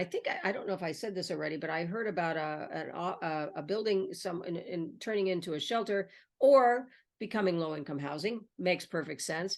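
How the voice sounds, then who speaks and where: Using a normal speaking voice, the speaker talks at a fairly quick pace with lively intonation. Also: woman. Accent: American. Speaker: online video host. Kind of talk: conversational interview.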